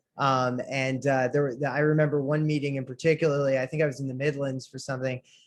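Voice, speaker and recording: With hardly any pauses, a man with an American accent rattles along at a very fast pace, his fairly high pitch set in a monotone, flat intonation. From United States. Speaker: trade association president. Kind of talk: conference talk. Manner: halting, many fillers.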